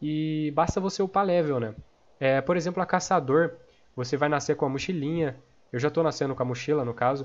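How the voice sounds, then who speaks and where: A man speaks at a fairly quick pace with a Brazilian accent. His pitch is fairly high, with ordinary variation. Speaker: gaming youtuber and game server owner. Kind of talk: tutorial. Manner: casual, filler-heavy.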